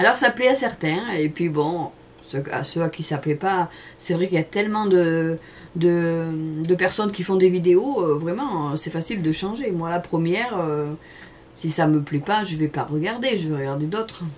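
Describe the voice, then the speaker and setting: A woman with a southern French accent speaks at a fairly slow pace in a fairly low voice, her intonation lively, over noticeable background noise. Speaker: cooking channel host. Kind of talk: casual chat to camera. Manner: hesitant, many fillers; talkative.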